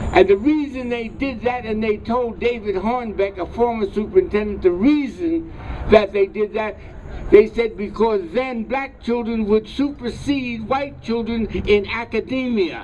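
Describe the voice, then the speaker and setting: Against noticeable background noise, a man with an American accent speaks at a fairly slow pace in an extremely high pitch. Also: ordinary pitch variation. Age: 90s. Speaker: historian and curriculum author. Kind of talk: speech at a rally. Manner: repetitive, stammering.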